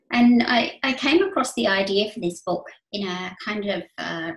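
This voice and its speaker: Music plays in the background and audible room echo surrounds a woman whose pitch varies in an ordinary way. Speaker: guest. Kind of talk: talk to an online audience. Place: home room. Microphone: webcam.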